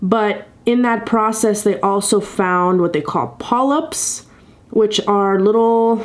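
This woman talks at a very slow pace, her pitch varying in an ordinary way. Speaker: vlogger sharing a family update. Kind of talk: casual vlog chat. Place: home room. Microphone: webcam.

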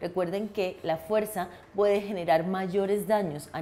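A woman talks while music plays faintly behind her. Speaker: dentist. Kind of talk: health tutorial. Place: office. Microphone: lapel.

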